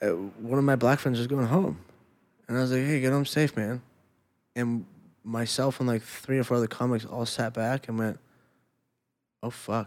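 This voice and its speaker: Speaking with an American accent, ordinary pitch variation and long, frequent pauses, the voice comes through on a very clean recording with a silent background. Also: man, medium pitch for a man, moderate pace. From Los Angeles, US. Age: 30s. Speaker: former MMA fighter. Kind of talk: casual chat.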